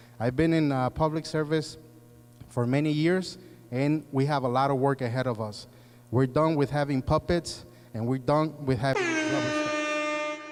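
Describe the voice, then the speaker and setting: A man's fairly high voice with fairly even intonation, music playing in the background. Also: moderate pace. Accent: Spanish. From Mexico, then Chicago from age nine. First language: Spanish. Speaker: political candidate, former police officer. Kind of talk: candidate forum speech. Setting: community forum with audience. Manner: halting, many fillers.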